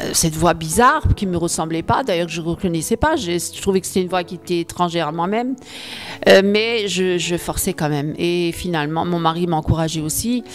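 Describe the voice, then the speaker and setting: Fairly low-pitched woman's voice at a fairly quick pace, ordinary pitch variation, noticeable background noise. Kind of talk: testimony. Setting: video addressed to viewers. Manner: halting, many fillers and repetitions.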